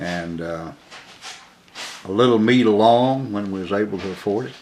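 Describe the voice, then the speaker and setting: The speaker has an Alabama accent and a fairly slow pace. Room echo is audible. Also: man. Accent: US Southern (Alabama). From Alabama, Birmingham. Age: 70s. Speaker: oral history interviewee. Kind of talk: oral history interview. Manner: halting, many fillers.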